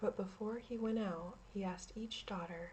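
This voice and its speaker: A woman's somewhat breathy, dark, mellow voice in a calm tone, at a fairly slow pace with ordinary pitch variation. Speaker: ASMR creator. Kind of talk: ASMR story reading. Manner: calm, relaxing.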